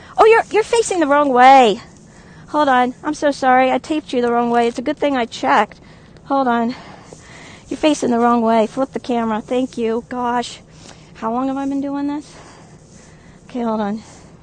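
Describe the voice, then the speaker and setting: Noticeable background noise surrounds a woman speaking in a high voice. She keeps a moderate pace and ordinary pitch variation, with long, frequent pauses. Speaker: live-streamer. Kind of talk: live-stream chat. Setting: outdoors. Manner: animated; loud.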